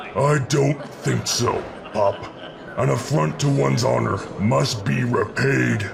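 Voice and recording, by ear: Against loud background noise, a man uses a put-on character voice at a fairly slow pace and a fairly low pitch.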